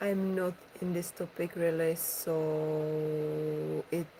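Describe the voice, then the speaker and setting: The voice has a dark, mellow tone and a monotone, flat intonation, with a Czech accent. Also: woman. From Czech Republic. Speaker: ASMR streamer. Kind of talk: casual chat.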